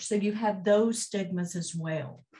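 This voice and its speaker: A woman speaks at a fairly slow pace in a somewhat breathy voice, with a medium pitch and ordinary pitch variation. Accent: American. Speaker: mental health organization executive. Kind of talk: conference presentation.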